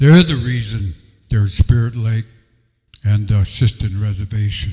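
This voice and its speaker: With an American accent, a man talks at a moderate pace in a medium pitch, his dark, mellow tone somewhat breathy and his pitch variation ordinary. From US Midwest, Dakota reservations. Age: 70s. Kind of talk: public talk to audience.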